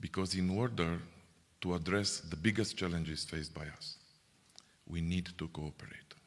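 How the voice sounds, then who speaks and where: Fairly even intonation in a Romanian accent. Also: man. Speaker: EU official. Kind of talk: speech. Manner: halting.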